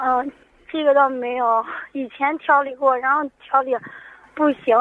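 The intonation holds fairly even. It comes from a woman with a high voice. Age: 20s. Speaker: caller. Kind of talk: phone-in health consultation. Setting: phone call. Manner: halting.

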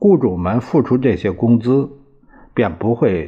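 Very slowly, a man with a fairly low pitch and a dark, mellow tone speaks with lively intonation. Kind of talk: audiobook reading of a diary, literary narration. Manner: even, steady, measured narration; plain, matter-of-fact, formal, with occasional stumbles.

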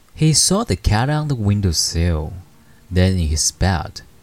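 Very slowly, a man speaks in a very deep, low pitch with a gentle, calm tone while music plays in the background. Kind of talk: bedtime story telling, read aloud in English then Chinese. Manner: gentle, slow and calm, reading with soft dramatic pauses and dialogue; measured, soothing, formal narration.

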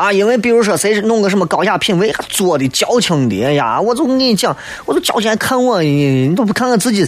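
An animated voice in a Shaanxi accent with very wide pitch swings, very even loudness, a fairly quick pace and hardly any pauses, over noticeable background noise. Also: man, high pitch for a man. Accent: Shaanxi dialect (Guanzhong). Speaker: radio talk show host. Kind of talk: casual radio monologue.

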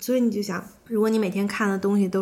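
The tone is dark and mellow, with audible room echo. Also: woman. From Beijing, China. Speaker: yoga teacher. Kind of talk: casual interview conversation.

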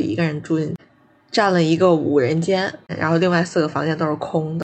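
A woman's voice with vocal fry. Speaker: podcast co-host, master's student. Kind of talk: casual chat.

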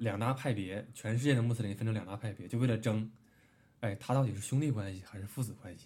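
A man with a dark, mellow tone and medium pitch talks at a very fast pace, somewhat breathy, with big swings in loudness. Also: fairly even intonation. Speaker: podcast co-host. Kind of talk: casual chat.

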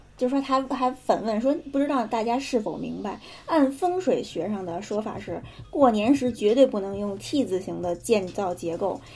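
Her loudness swinging widely, a woman speaks at a moderate pace in a fairly high, somewhat breathy voice with lively intonation. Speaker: podcast co-host telling ghost stories. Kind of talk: casual storytelling chat.

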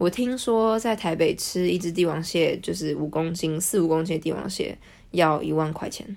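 A woman's fairly low voice at a moderate pace, a normal speaking voice with ordinary pitch variation. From Taiwan. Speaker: social media editor and Russian translator. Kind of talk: casual interview.

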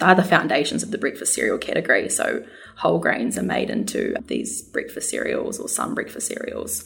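A woman speaks with a New Zealand accent while music plays in the background. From New Zealand, South Island farm. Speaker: nutritionist. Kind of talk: interview. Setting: studio.

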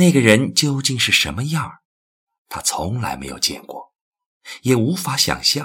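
Speaking at a fairly slow pace with long, frequent pauses, a man with a medium-pitched voice shows ordinary pitch variation and big swings in loudness. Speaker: audiobook narrator. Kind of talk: literary audiobook reading, narrated novel prose. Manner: measured, storytelling pace, expressive.

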